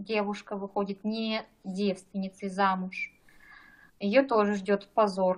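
With long, frequent pauses, a woman speaks at a medium pitch and with fairly even intonation. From Kazakhstan. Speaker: doctor. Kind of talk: casual chat.

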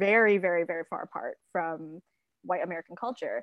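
A woman talking at a very fast pace, with a dry, close sound, no echo and a quiet background. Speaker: contributor and co-host. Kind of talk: casual discussion podcast.

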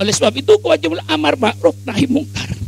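A man's fairly high, animated voice at a very fast pace, with very wide pitch swings and music in the background. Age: 80s+. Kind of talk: sermon.

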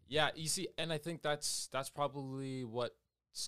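Recorded very cleanly with a silent background, a man with an American accent speaks at a moderate pace in an ordinary speaking voice with ordinary pitch variation. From Everett, Washington, US. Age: 20s. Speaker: dancer and singer. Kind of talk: casual chat.

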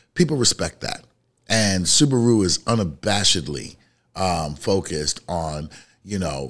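In a New York accent, a man speaks with a very deep, low pitch and lively intonation on a very clean recording with a silent background. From Bronx, New York. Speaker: podcast co-host, marketing speaker. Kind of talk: casual chat.

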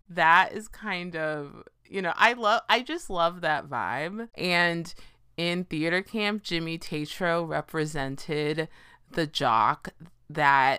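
A woman speaks very slowly with an American accent, her fairly low voice bright and sharp in tone with ordinary pitch variation. The recording is very clean, with a silent background. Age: 30s. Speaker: podcast host. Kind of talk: casual solo monologue.

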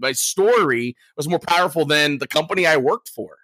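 A man with an American accent speaks at a fairly quick pace, his tone bright and sharp and his intonation lively. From US. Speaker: sales and storytelling trainer. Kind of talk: casual interview.

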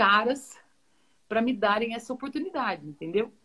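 A woman talks at a moderate pace. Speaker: football play-by-play commentator. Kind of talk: interview on a live stream. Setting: live video stream.

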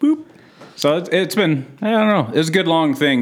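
An ordinary speaking voice from a man, fairly quick in pace, with lively intonation. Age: 30s. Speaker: stand-up comedian. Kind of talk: casual chat.

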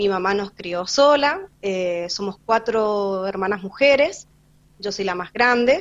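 The pace of this woman's speech is very slow. She has a medium pitch and ordinary pitch variation. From Argentina, San Rafael, Mendoza. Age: 20s. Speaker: street vendor. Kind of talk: interview. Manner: halting.

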